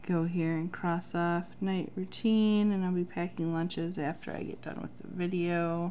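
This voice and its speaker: Over light background noise, a woman with a fairly low, dark, mellow voice talks at a moderate pace in a flat monotone, hardly pausing. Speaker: planner vlogger. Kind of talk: tutorial. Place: home room.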